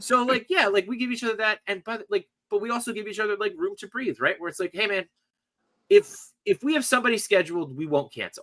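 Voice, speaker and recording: A man raises and projects his high-pitched voice at a fairly quick pace, with lively intonation and big swings in loudness. The tone is bright and sharp, with a dry, close sound and no echo. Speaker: toy collector and podcast host. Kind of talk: casual chat. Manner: fast.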